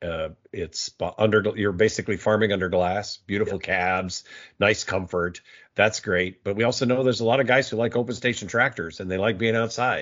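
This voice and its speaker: Fairly quick and fairly low in pitch, a man speaks in a plain, everyday voice with ordinary pitch variation. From US, Navy brat (South, Cuba, Hawaii). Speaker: agriculture podcast host, editor. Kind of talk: casual interview chat.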